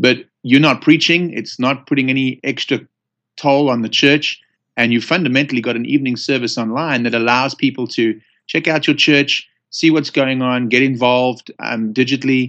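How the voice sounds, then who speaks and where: At a moderate pace, a man with a South African accent talks in a medium pitch with fairly even intonation. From South Africa, Johannesburg. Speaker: church pastor. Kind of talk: casual interview. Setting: phone call.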